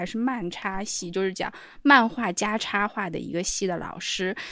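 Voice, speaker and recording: In a very clean recording with a silent background, a woman talks at a moderate pace and medium pitch, with ordinary pitch variation. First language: non-English (speaking Chinese). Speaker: podcast co-host. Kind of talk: casual chat.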